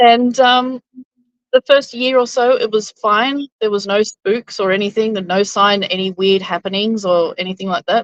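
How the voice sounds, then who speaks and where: A woman's fairly high voice with an Australian accent, at a moderate pace, in a dry, close sound with no echo. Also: ordinary pitch variation. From Queensland, Australia. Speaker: interview guest. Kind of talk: interview storytelling.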